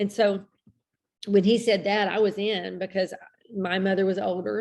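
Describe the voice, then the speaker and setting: A woman speaks with an American accent at a moderate pace, her pitch medium and her delivery marked by vocal fry. Her intonation stays monotone and flat. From Texas. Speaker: health group host. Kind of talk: live Q&A chat. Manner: talkative, rambling.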